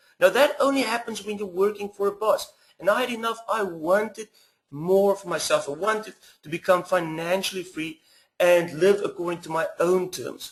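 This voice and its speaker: This man's pitch is high. His loudness swings a lot. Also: ordinary pitch variation, moderate pace. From South Africa, small west coast town. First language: Afrikaans. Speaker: internet marketer, former teacher. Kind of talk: webinar sales pitch.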